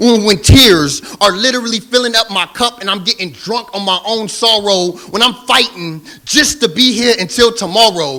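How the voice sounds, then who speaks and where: A man speaks in a raised, projected voice with a passionate, intense tone, at a high pitch with ordinary pitch variation. His pace is moderate with hardly any pauses, over noticeable background noise. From Southern California. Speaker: spoken word poet. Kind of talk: spoken word poetry performance. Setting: live stage.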